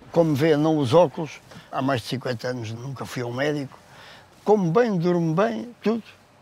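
A fairly high-pitched man at a moderate pace, lively intonation, noticeable background noise. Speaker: weightlifter. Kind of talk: casual chat.

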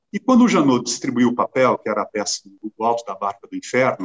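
In a normal speaking voice, a man talks at a fairly quick pace. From Brazil, southern Minas Gerais. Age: 60s. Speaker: actor. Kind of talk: interview conversation.

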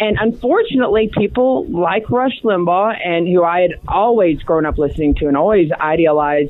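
A woman's fairly low-pitched voice amid noticeable background noise. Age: young. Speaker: TV and radio political commentator. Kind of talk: casual interview.

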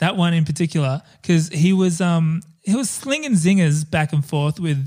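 In a very clean recording with a silent background, a man with an Australian accent speaks at a moderate pace in a high pitch, with ordinary pitch variation. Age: 30s. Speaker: podcast host. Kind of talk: casual chat.

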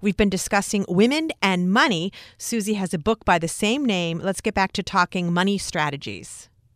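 A woman with a plain, everyday voice speaks at medium pitch and a moderate pace with lively intonation, her dry, close sound with no echo captured on a very clean recording with a silent background. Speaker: radio host. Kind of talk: radio interview. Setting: radio studio.

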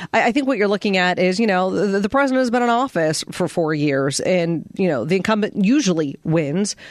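Speaking with an American accent in a normal speaking voice, a woman at a medium pitch moves at a fairly quick pace with hardly any pauses, lively intonation and very even loudness. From Pittsburgh, Pennsylvania. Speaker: radio talk show co-host. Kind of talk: radio talk show chat.

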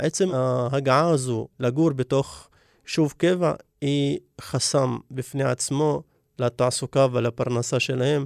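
At a very slow pace, a man talks in a dry, close sound with no echo on a very clean recording with a silent background. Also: medium pitch for a man, fairly even intonation. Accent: Arabic. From Negev Bedouin, Israel. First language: Arabic (speaking Hebrew). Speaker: community organizer. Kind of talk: interview.

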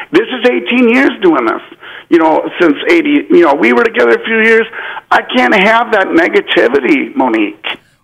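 A man speaks at a moderate pace with very even loudness. Noticeable background noise runs underneath. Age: 40s. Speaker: caller. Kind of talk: call-in talk.

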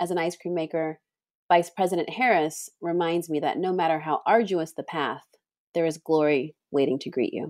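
A woman with an American accent, fairly low-pitched and at a moderate pace, an unremarkable speaking voice on a very clean recording with a silent background. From California, Bay Area (East Palo Alto). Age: 40s. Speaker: pastry chef and ice cream maker. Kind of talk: interview conversation.

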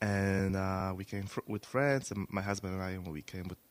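A man with a non-native accent, his pitch very deep and low, at a moderate pace. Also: dry, close sound with no echo. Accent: foreign. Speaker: business owner, guest.

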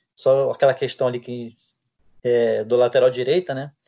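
Against a quiet background, a man talks at a moderate pace with a medium pitch. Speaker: sports reporter. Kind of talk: casual chat.

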